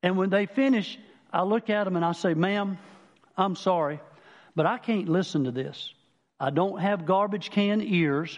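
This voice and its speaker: With a South Carolina accent, a man speaks at a high pitch with ordinary pitch variation, at a moderate pace broken by long, frequent pauses. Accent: Southern US, South Carolina. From Manning, South Carolina. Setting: church.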